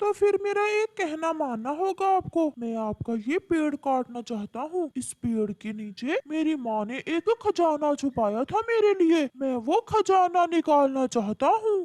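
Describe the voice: A high-pitched, cartoonish character voice does the talking. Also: fairly slow pace.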